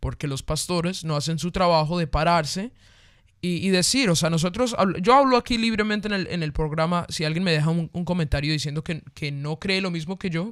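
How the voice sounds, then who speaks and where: On a very clean recording with a silent background, a man with a high pitch talks at a fairly quick pace in an animated tone with ordinary pitch variation. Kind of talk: casual discussion of faith topics. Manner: fast.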